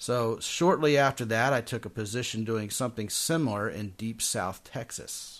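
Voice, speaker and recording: Against a quiet background, a man with an unremarkable speaking voice speaks with hardly any pauses. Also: medium pitch for a man, ordinary pitch variation, moderate pace. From Maryland, Baltimore. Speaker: dating podcast host. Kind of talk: casual chat.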